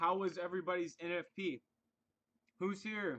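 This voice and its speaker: Loud and bright, sharp in tone, a man speaks. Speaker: forex trading live stream host. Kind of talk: casual live stream chat. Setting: live stream.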